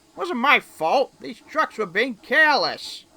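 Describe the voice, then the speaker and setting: The pitch sits fairly high in this put-on character voice. Delivery is fairly slow. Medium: audio drama. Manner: cocky, sarcastic.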